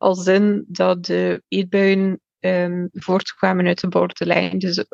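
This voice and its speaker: A woman speaks with a dry, close sound with no echo. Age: 20s. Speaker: mental health testimony guest. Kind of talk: personal testimony. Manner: hesitant, many fillers.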